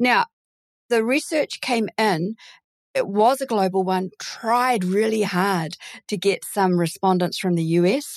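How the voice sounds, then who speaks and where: A woman's medium-pitched voice with a New Zealand accent, fairly slow, very even in loudness, with ordinary pitch variation. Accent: Kiwi. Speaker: recruitment founder and podcast host. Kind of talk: casual interview.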